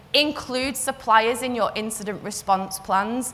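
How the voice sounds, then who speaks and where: A woman with a Liverpool accent speaks at a fairly high pitch. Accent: Scouse. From northern England, Liverpool. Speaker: cyber security consultant. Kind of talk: conference talk.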